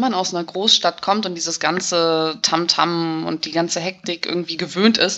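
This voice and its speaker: In an ordinary speaking voice, a woman speaks at a fairly low pitch and a moderate pace with ordinary pitch variation. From Hamburg, northern Germany. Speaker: emigrant interviewee. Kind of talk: casual interview.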